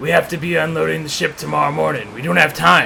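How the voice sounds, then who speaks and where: A man puts on a raspy character voice at a very fast pace, with clear background noise behind him. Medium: read story. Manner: blunt, self-assured.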